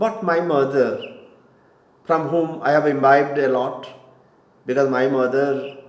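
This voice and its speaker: With audible room echo, a man speaks in an Indian accent with fairly even intonation. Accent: Indian English (Odia). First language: Odia. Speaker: spiritual teacher. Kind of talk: lecture. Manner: halting.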